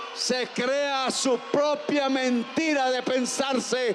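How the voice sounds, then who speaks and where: A man's extremely high-pitched voice, monotone and flat in intonation, at a very slow pace over noticeable background noise. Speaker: president giving a public speech. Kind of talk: political rally speech. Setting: outdoors, public square.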